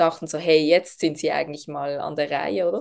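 A woman talks with a Swiss accent. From Switzerland, Basel region. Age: 30s. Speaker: essential oils network marketer. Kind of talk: podcast interview.

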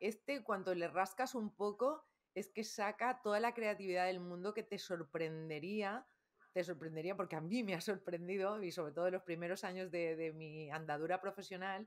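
In a normal speaking voice, a woman talks at a medium pitch and a moderate pace. Her pitch varies in an ordinary way. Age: 50s. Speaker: communication coach and trainer. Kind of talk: interview.

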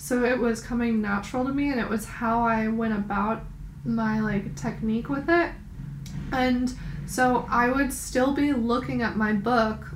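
Speaking with an American accent at a moderate pace, a woman has a fairly high pitch and ordinary pitch variation, with audible room echo and noticeable background noise. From New York. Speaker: podcast co-host. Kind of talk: casual chat.

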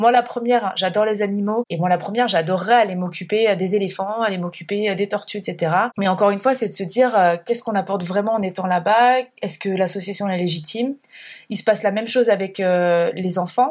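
Heard on a very clean recording with a silent background, a woman of medium pitch talks at a fairly quick pace with fairly even intonation. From France, Burgundy countryside. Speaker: eco-traveller and former consultant. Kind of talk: casual interview. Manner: hesitant, many fillers.

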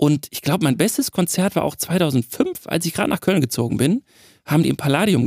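A man uses lively intonation and vocal fry, recorded with a dry, close sound and no echo. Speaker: sound designer, podcast co-host. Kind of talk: casual chat.

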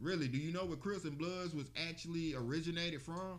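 Amid audible room echo, a man with an American accent talks fairly quickly in a high pitch and an animated tone. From Birmingham, Alabama. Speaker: podcast co-host. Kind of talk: casual chat.

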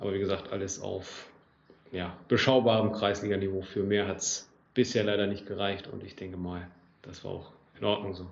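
Audible room echo surrounds a man speaking at a moderate pace in a fairly low, monotone, flat voice with big swings in loudness. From northern Germany, Lower Saxony (Großenkneten). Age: 20s. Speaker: amateur football club section head. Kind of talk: casual interview.

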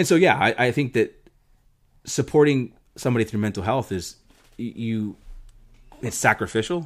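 A man with a medium pitch speaks at a moderate pace, his intonation lively. Long, frequent pauses break up a very clean recording with a silent background. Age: 30s. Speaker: podcast guest, husband of the host. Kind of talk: casual chat. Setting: home recording with mics.

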